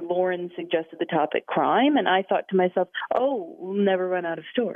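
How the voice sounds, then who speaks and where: A woman with an American accent and an ordinary speaking voice talks at a moderate pace, with medium pitch and ordinary pitch variation. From US Midwest, Chicago. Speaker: radio journalist and podcast host. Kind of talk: interview conversation.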